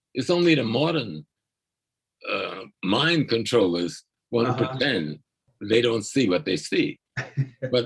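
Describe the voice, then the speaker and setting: A man talks at a moderate pace with very wide pitch swings. His voice has vocal fry. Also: long, frequent pauses. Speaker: scholar activist and lecturer. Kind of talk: lecture. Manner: calm.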